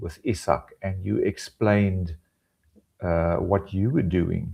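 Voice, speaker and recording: A man's dark, mellow tone at a very slow pace against a quiet background. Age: 60s. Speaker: online ESL teacher, former technical trainer. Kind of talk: interview. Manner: halting, repeats words.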